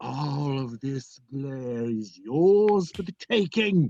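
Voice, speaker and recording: A man's put-on character voice, fairly high in pitch, with very wide pitch swings, a very slow pace, and a dry, close sound with no echo. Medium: comedy sketch. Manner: testy, theatrical.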